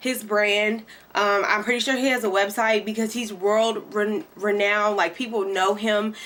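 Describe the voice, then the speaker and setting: Bright, sharp tone in a Kentucky accent, at a moderate pace with fairly even intonation. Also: woman. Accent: country Kentucky. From Kentucky, US South. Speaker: beauty vlogger and hairstylist. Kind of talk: product review tutorial. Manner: casual, many fillers.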